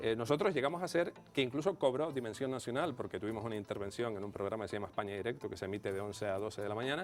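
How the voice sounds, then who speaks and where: Music plays in the background as the speaker talks at a very fast pace with hardly any pauses. The intonation is lively, in a Canarian accent. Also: man, medium pitch for a man. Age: 40s. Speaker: radio station director. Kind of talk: TV interview. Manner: hesitant fillers.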